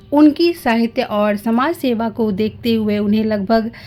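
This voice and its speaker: Music in the background under speech with ordinary pitch variation. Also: woman. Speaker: narrator. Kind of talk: biographical documentary narration.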